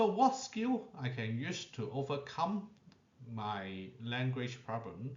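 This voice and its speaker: Through noticeable background noise and audible room echo, a man with a non-native accent speaks very slowly at a medium pitch, his voice swinging very widely in pitch. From Asia. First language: not English. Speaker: allied health professional. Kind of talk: lecture. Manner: short phrases with frequent pauses.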